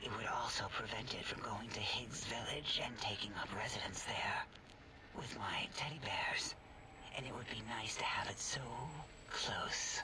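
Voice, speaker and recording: A man whispers in a cartoonish character voice. Loud background noise fills the recording. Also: moderate pace. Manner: precise, clinical.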